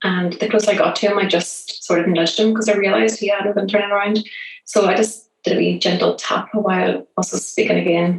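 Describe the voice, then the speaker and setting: A woman speaks at a very fast pace in a Northern Irish accent. Her pitch is medium with ordinary variation, and her loudness stays very even. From Northern Ireland, Belfast. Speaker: app founder. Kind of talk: interview. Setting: remote call.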